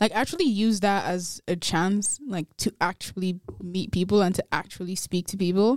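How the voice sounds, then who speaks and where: A woman with a slight Nigerian accent speaks with hardly any pauses, recorded very cleanly against a silent background with a dry, close sound and no echo. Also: medium pitch for a woman, moderate pace. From Nigeria, Kogi State. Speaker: guest. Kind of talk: casual chat. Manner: animated.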